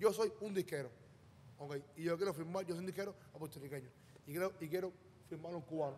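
A man with a high voice talks very fast, with ordinary pitch variation and long, frequent pauses, over light background noise. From Cuba. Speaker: music manager; podcast guest. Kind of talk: casual chat. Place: studio. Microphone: studio mic.

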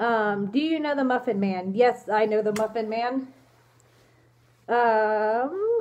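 A woman's fairly high voice at a very slow pace, with long, frequent pauses, ordinary pitch variation and a quiet background. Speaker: fursuit vlogger. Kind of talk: casual Q&A vlog. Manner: hesitant, many fillers.

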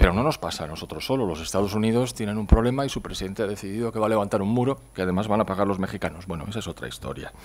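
At a very fast pace with hardly any pauses, a man with a fairly low voice talks with ordinary pitch variation. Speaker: economist introducing the speaker; conference presenter. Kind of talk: lecture. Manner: reading from notes. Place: hall. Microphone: podium.

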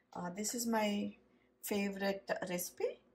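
This is a woman's voice. It sounds somewhat breathy. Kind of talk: casual cooking tutorial chat. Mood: warm, nostalgic storytelling. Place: kitchen. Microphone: phone near.

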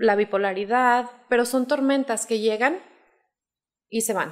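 Against a quiet background, a woman with an unremarkable speaking voice talks at a fairly slow pace, her fairly high pitch held in fairly even intonation. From Zacatecas, Mexico. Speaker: life coach; life coach guest. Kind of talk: explanatory talk in casual interview. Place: studio. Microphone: studio mic.

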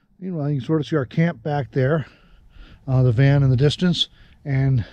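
A man speaks with fairly even intonation in a dry recording with no echo. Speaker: travel vlogger. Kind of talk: casual vlog chat. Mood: relaxed, cheerful. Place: forest. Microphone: phone near.

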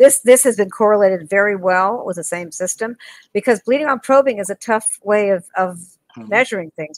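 A woman speaks with lively intonation. The sound is dry, with no echo. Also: quiet background. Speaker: dentist and lecturer; lecturer. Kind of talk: interview conversation. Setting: video call. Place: home room. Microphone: video call.

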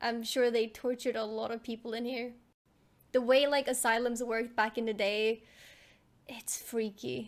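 At a moderate pace, a woman talks in a monotone, flat intonation with long, frequent pauses. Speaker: reaction streamer. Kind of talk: casual reaction commentary. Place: home room. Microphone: studio mic.

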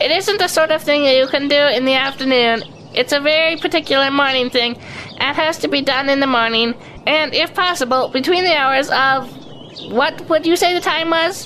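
Putting on a squeaky character voice, a woman speaks at a high pitch and moderate pace in a nervous tone, with clear background noise behind her. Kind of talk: character dialogue in radio play. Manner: nervous, making excuses.

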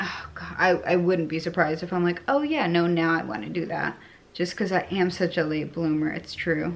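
The voice has an American accent. Its pitch variation is ordinary. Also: woman, fairly low pitch for a woman. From Connecticut. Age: 30s. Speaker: vlogger. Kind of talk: casual monologue vlog. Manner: rambling, hesitant with fillers. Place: home room. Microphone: phone near.

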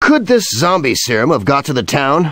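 A put-on character voice is performed at a moderate pace. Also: man, fairly high pitch for a man. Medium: video game. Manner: terse, commanding.

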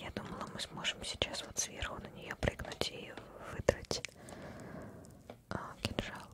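A soft-spoken woman whispers at a very slow pace, the sound dry with no echo. Loud background noise runs underneath. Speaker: game streamer. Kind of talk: reading game dialogue aloud, casual commentary. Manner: soft ASMR whisper, thinking aloud. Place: home room.

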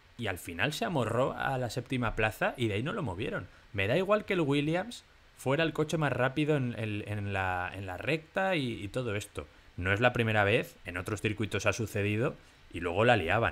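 A man with a medium pitch makes very wide pitch swings as he talks. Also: moderate pace. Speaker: F1 podcast co-host. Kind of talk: casual chat.

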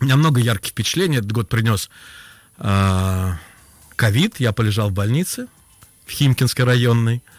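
Over music in the background, a man speaks at a moderate pace with long, frequent pauses and very even loudness, in a dry, close sound with no echo. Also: medium pitch for a man, ordinary pitch variation. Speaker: former radio and TV host, writer and poet. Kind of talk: casual radio interview chat. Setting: radio studio.

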